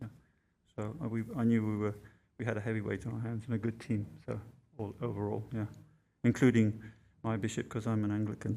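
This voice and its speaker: A man's fairly low, dark, mellow voice, monotone and flat, at a fairly quick pace with long, frequent pauses. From East Africa (Tanzania). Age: 60s. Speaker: witness. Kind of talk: testimony. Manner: halting, many fillers and restarts.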